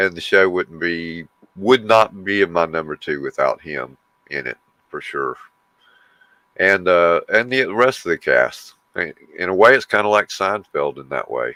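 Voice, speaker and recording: Spoken in a Southern US accent with a bright, sharp tone, the voice has lively intonation, big swings in loudness, and long, frequent pauses at a fairly slow pace, recorded with a dry, close sound and no echo. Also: man, very deep, low pitch for a man. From US South. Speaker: livestream co-host. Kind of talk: casual chat.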